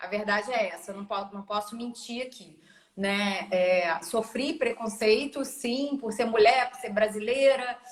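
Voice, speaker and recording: Speaking at a fairly slow pace with a Brazilian accent, a woman uses a fairly high pitch with ordinary pitch variation and big swings in loudness. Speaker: digital marketing specialist. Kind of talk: podcast interview.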